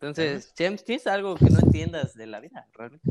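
The speaker talks at a fairly quick pace with a Mexican accent. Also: man. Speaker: podcast co-host. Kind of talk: casual chat.

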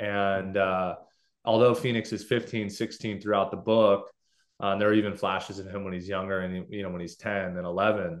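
Speaking at a moderate pace with an American accent, a man keeps a fairly low pitch and fairly even intonation against a quiet background. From Southern California, Los Angeles. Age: 20s. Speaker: novelist, former college basketball player. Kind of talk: podcast interview.

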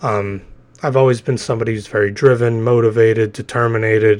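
Medium pitch from a man at a moderate pace, with fairly even intonation and a quiet background. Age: 20s. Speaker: solo podcaster. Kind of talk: casual monologue. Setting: bedroom at home. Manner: hesitant, many fillers.

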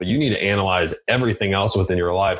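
Speaking at a fairly quick pace, a man uses a low pitch, fairly even intonation and a fairly bright tone.

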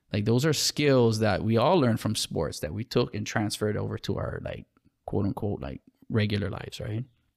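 Lively intonation and vocal fry mark this moderate-paced voice with a Hawaiian accent, in a very clean recording with a silent background. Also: man, fairly low pitch for a man. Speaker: school administrator and apparel entrepreneur. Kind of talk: casual interview.

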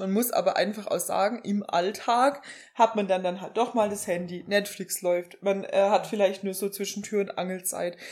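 With hardly any pauses, a woman talks in an ordinary speaking voice at medium pitch and with fairly even intonation. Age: 20s. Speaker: podcast co-host, pediatric nurse. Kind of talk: casual chat.

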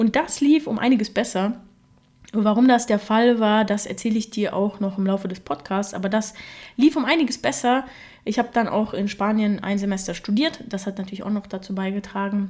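In a Russian accent, a woman speaks at a moderate pace with a fairly high, somewhat breathy voice and ordinary pitch variation. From Germany, Russian-speaking family. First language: Russian (speaking German). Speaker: podcast host. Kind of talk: solo podcast monologue.

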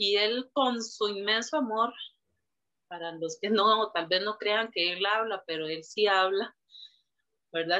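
The woman speaks at a medium pitch with ordinary pitch variation. Her pace is fairly slow. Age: 40s. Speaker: churchgoer sharing life story. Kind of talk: testimony.

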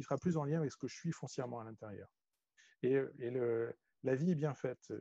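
At a fairly quick pace, a man talks with a medium pitch and ordinary pitch variation in a dry, close sound with no echo. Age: 40s. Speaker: energy healer and business coach. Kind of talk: interview. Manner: halting, many fillers and repetitions.

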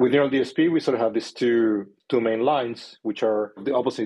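With a Spanish accent, a man talks at a fairly quick pace in a medium pitch. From Chile. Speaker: company founder and CEO. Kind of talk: interview.

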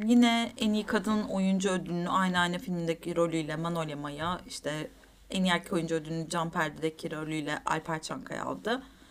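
A woman talks at a moderate pace with a medium pitch and ordinary pitch variation. Noticeable background noise sits behind her. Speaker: film podcast co-host. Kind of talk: casual chat.

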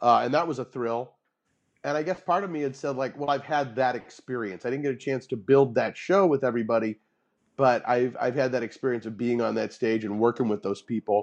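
A plain, everyday voice at a fairly quick pace, with ordinary pitch variation over a quiet background. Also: man, medium pitch for a man. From US Midwest (St. Louis). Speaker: improv teacher and actor. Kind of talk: interview.

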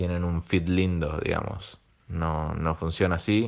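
In an Argentine accent, a man with a very deep, low pitch talks at a very slow pace. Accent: Rioplatense Argentine Spanish. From Argentina. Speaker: illustrator and designer. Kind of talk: recorded voice message.

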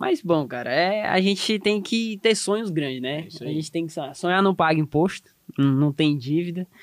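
A man at a high pitch and fairly slow pace, with ordinary pitch variation, in a dry, close sound with no echo. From southeast Tocantins, Brazil. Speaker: animal scientist and technical consultant. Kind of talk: casual podcast conversation.

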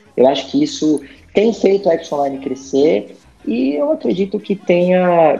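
A man speaks at a fairly slow pace in a high pitch, his voice swinging very widely up and down. Noticeable background noise sits behind him. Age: 40s. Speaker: HR director. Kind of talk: casual interview.

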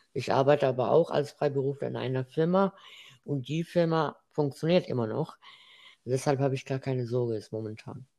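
Over a quiet background, a man with an Arabic accent speaks at a fairly quick pace with ordinary pitch variation. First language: Arabic (speaking German). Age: 20s. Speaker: student and freelance web developer. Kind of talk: casual interview. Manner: halting.

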